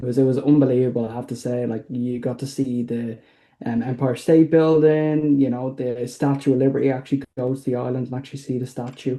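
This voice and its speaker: A man talks fairly quickly at a medium pitch. His tone is dark and mellow, his intonation monotone and flat. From Ireland, Dublin. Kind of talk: podcast interview. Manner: halting, many fillers.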